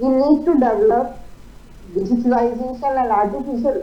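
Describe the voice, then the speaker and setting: Over noticeable background noise and audible room echo, a woman speaks at a high pitch and a moderate pace. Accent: Indian. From India. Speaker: invited speaker, expert panelist. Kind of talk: panel address. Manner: hesitant, with frequent uh fillers.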